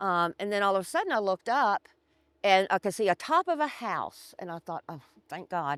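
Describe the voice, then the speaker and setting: In a plain, everyday voice, a woman at a medium pitch talks at a fairly quick pace with lively intonation and big swings in loudness, in a dry, close sound with no echo on a very clean recording with a silent background. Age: 60s. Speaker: storm survivor. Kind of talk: interview testimony. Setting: outdoors by the river at her former home site.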